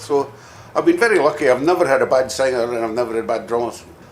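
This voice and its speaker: A man speaks very fast in a Scottish accent. His pitch is medium. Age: 60s. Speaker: rock bassist. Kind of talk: interview. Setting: music venue.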